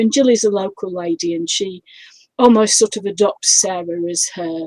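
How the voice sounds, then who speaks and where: A woman with a slight northern English accent, ordinary pitch variation and a dry, close sound without echo. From northern England. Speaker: crime author. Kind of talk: interview. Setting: live video stream. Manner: hesitant, many fillers.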